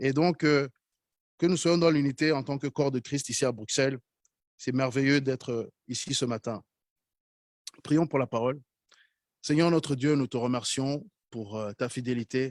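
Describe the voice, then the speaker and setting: A man in a Rwandan accent talks at a fairly slow pace with long, frequent pauses and fairly even intonation, the sound dry and close with no echo. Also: medium pitch for a man. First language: Kinyarwanda (speaking French). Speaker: preacher. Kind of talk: sermon.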